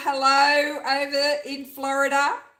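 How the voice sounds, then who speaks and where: A woman's raised, projected voice, high in pitch. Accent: Australian. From Queensland, Australia. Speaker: junk journal crafter, YouTuber. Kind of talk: casual livestream chat. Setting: home craft studio livestream.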